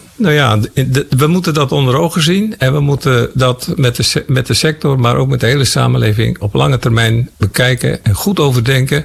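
A man talks at a moderate pace with hardly any pauses and very even loudness, over noticeable background noise. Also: medium pitch for a man, ordinary pitch variation. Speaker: former agriculture minister. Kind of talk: interview.

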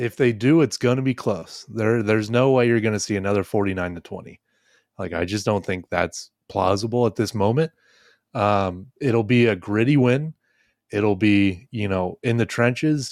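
On a very clean recording with a silent background, a man with a normal speaking voice and fairly low pitch shows ordinary pitch variation, the sound dry and close with no echo. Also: moderate pace. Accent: American. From Ohio, Dayton area. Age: 20s. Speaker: sports podcast host. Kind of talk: casual chat.

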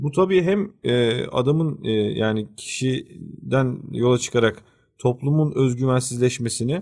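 Over a very clean recording with a silent background, a man speaks at a medium pitch in a somewhat breathy voice. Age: 30s. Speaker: podcast co-host. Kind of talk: casual discussion.

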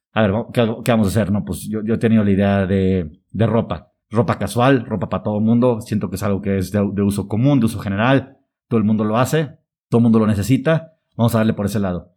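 A man's fairly low, dark and mellow voice in a Mexican accent, very fast pace, ordinary pitch variation, very clean recording over a silent background. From Mexico. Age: 30s. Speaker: social entrepreneur, company co-founder. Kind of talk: interview. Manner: halting.

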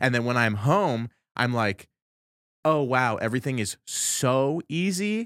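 A man talks at a fairly slow pace with a medium pitch, an animated tone and lively intonation. The recording is very clean, with a silent background. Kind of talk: casual chat. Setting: studio.

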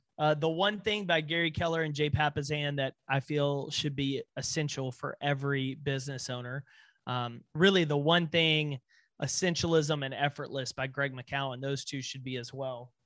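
With an American accent, a man speaks at a moderate pace in an ordinary speaking voice with fairly even intonation, on a very clean recording with a silent background. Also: fairly high pitch for a man. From East Texas, US. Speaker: motivational speaker and business owner. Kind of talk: interview conversation.

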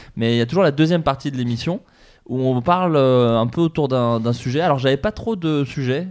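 A man's delivery at a medium pitch, with ordinary pitch variation, comes in a normal speaking voice on a very clean recording with a silent background. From France, Burgundy. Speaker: podcast host. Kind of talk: casual chat.

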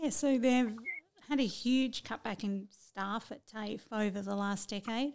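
With an Australian accent, a woman speaks at a fairly high pitch with ordinary pitch variation. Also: fairly slow pace. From central west New South Wales, Australia. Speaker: state politician. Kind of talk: interview.

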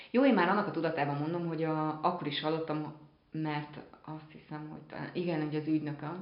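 Through noticeable background noise and audible room echo comes a woman's very deep, low voice with fairly even intonation. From Szeged, southern Hungary. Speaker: actress. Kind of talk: interview.

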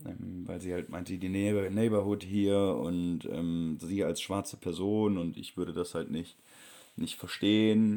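Fairly low in pitch, a man talks at a fairly slow pace in a dark, mellow tone. His intonation is monotone and flat. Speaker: travel vlogger. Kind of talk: travel vlog narration.

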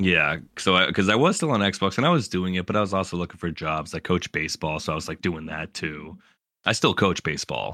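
A man's very deep, low voice with a bright, sharp tone, ordinary pitch variation and a fairly quick pace, in a dry, close sound with no echo. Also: very clean recording, silent background. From Massachusetts. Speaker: game streamer. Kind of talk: casual interview. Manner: fast.

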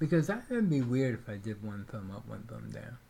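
A man with a medium-pitched, plain, everyday voice talks at a moderate pace. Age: 40s. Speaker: podcast co-host. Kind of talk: casual chat.

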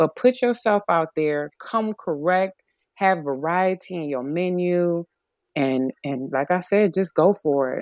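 A woman with an ordinary speaking voice, fairly low in pitch, lively in intonation, at a fairly slow pace. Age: 40s. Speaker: vegan chef. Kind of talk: interview.

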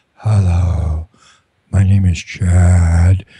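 In a put-on character voice, a man speaks with a very deep, low pitch and monotone, flat intonation. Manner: put-on impression.

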